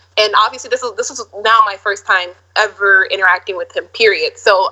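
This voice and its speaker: With an American accent, a woman speaks at a fairly quick pace in fairly even intonation. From Minneapolis, Minnesota. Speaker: actress and model. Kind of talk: casual interview.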